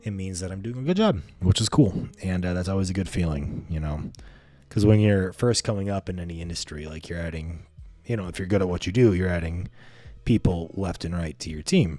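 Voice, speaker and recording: A soft-spoken man's very deep, low voice, dark and mellow in tone, at a fairly quick pace with ordinary pitch variation and big swings in loudness. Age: 20s. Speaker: vlogger and real estate media business owner. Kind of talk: casual vlog monologue. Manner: casual, many fillers.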